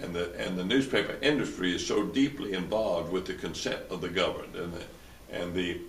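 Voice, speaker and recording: Noticeable background noise and audible room echo surround the speaker. The talk comes at a fairly quick pace in a Tennessee accent. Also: man. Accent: US Southern (Tennessee). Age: 80s+. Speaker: lawyer and former publisher. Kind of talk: interview. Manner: halting, many repetitions.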